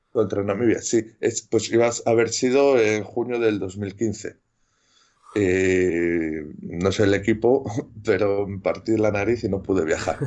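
At a fairly slow pace, a man with an unremarkable speaking voice speaks at a fairly low pitch with fairly even intonation. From Castile and León, Spain (Medina de Rioseco, Valladolid). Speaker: rugby player. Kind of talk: interview. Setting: remote interview during lockdown at home.

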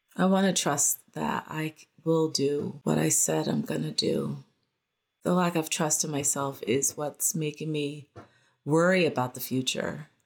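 Her very deep, low voice shows vocal fry and big swings in loudness as this woman speaks at a fairly slow pace. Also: ordinary pitch variation. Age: 40s. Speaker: podcast host and photographer. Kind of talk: personal monologue. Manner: casual, conversational.

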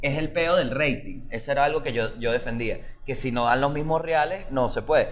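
Audible room echo and noticeable background noise surround a man speaking at a moderate pace in a fairly high pitch. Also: ordinary pitch variation. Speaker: podcast co-host, comedian. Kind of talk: casual comedic chat.

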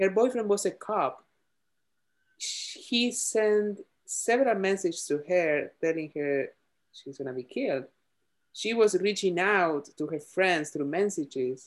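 A woman with an Argentine accent speaks at a fairly slow pace and a medium pitch. Her intonation is lively. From Argentina. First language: Spanish. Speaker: podcast co-host. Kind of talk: casual chat.

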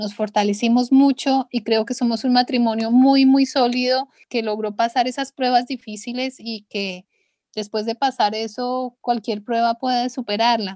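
A woman speaks at a fairly slow pace in a high, monotone voice with flat intonation. The sound is dry and close, with no echo. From Colombia. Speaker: former doctor and writer, adoptive mother. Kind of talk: interview testimony.

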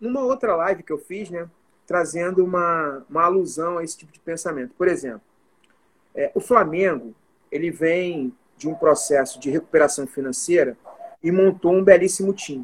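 A man's high-pitched voice at a moderate pace, with ordinary pitch variation and big swings in loudness. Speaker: podcast host. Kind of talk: casual chat.

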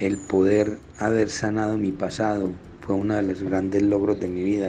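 A man talks at a moderate pace in a flat, monotone delivery. His fairly low voice has a dark, mellow tone. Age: 60s. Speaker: businessman sharing life story. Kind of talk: testimony.

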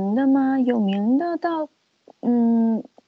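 A woman speaks very slowly with lively intonation. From China, Chongqing. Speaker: Chinese guest co-speaker. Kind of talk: casual bilingual chat.

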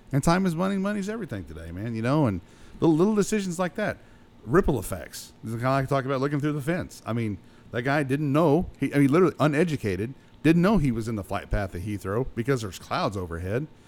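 A man with an American accent at a very fast pace, with very wide pitch swings. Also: fairly high pitch for a man. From Oklahoma. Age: 30s. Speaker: RC pilot and aviation enthusiast. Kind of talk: casual chat.

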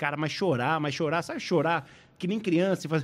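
A man speaks at a moderate pace in a fairly high voice with vocal fry. The recording is very clean, with a silent background. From Brazil, São Paulo. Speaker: ventriloquist. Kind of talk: casual chat.

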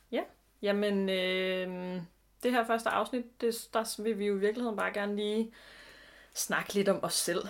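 The speech comes at a fairly slow pace, broken by long, frequent pauses, and the intonation stays fairly even. The recording is very clean, with a silent background. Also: woman, medium pitch for a woman. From Denmark, Zealand. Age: 30s. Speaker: podcast co-host. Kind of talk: casual chat. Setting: home bedroom.

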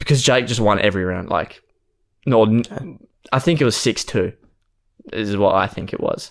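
A man speaks with an Australian accent at a medium pitch, using ordinary pitch variation and long, frequent pauses. The recording is very clean, with a silent background. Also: moderate pace. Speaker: podcast co-host. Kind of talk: casual chat.

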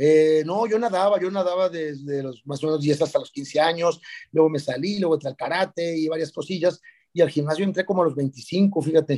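Speaking with a Mexican accent, a man uses a fairly high pitch and ordinary pitch variation at a fairly quick pace. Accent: Mexican Spanish (Jalisco). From Mexico, Guadalajara, Jalisco. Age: 60s. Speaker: dentist and social media influencer. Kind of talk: casual interview chat.

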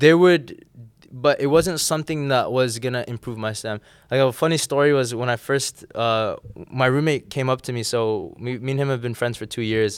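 In a very clean recording with a silent background, a man with an ordinary speaking voice talks at a moderate pace and a medium pitch, with ordinary pitch variation. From US, moved around (Chicago, Jordan, Tennessee, Florida). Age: 20s. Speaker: college student, new podcast co-host. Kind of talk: casual chat.

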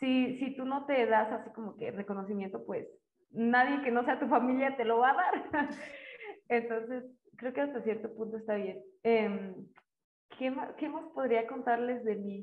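Audible room echo surrounds a woman who speaks at a fairly slow pace with a high pitch and ordinary pitch variation. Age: young. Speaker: student. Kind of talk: casual chat.

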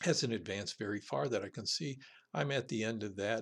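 There's vocal fry in this man's voice. His pitch is fairly low, with ordinary variation. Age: 60s. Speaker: political podcast host. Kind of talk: solo political commentary monologue. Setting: home recording for podcast and video.

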